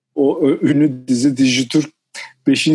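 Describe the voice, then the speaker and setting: The man's delivery is very slow. A dark, mellow tone colors his voice. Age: 50s. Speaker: sports journalist and writer. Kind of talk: interview.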